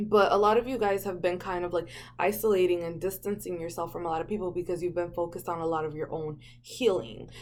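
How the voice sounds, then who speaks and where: Speaking at a very fast pace, a woman has a fairly low pitch. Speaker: tarot reader. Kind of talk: tarot reading monologue. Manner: casual, filler-heavy.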